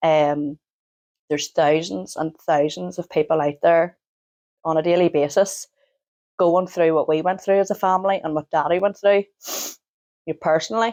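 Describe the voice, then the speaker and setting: A woman with a Northern Irish accent, fairly low in pitch with ordinary pitch variation, at a moderate pace with long, frequent pauses, in a dry, close sound with no echo. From Northern Ireland. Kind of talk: interview answer. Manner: hesitant, emotional.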